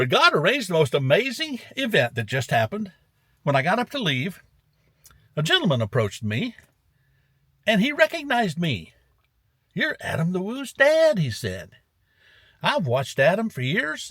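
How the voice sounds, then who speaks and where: At a moderate pace, a man talks in a high pitch with very wide pitch swings, a warm yet bright, sharp tone, and long, frequent pauses. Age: 70s. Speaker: vlogger. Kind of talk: casual vlog talk to camera. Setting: in a car. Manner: warm, rambling.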